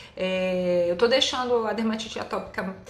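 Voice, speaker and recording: The woman's pitch varies in an ordinary way, and the room's echo is clearly audible. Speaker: allergist doctor. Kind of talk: live Q&A. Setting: live stream.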